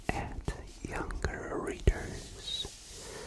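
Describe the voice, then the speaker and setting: Whispering in a calm tone over noticeable background noise. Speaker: ASMR creator. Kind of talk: ASMR book review, whispered talk to camera. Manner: whispered, calm.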